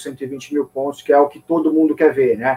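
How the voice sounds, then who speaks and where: A man talks at a moderate pace with a fairly high pitch. He has a normal speaking voice. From São Paulo, Brazil. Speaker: financial journalist, editor-in-chief. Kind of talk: casual interview.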